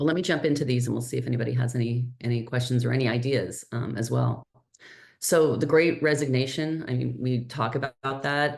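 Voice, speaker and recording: Here a woman talks at a fairly quick pace with a very deep, low pitch. Her intonation is fairly even, and there is audible room echo. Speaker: healthcare strategist and nurse entrepreneur. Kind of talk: webinar presentation. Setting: online webinar.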